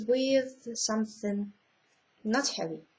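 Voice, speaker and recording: With ordinary pitch variation, a woman talks in a fairly high register. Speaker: vlogger. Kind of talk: casual vlog, reading a list. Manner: halting, many fillers.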